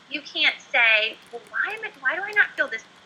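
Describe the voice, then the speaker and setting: A woman's high-pitched, bright and sharp voice, raised and projected, with lively intonation at a fairly quick pace. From Oklahoma. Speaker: former teacher turned entrepreneur. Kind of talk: interview.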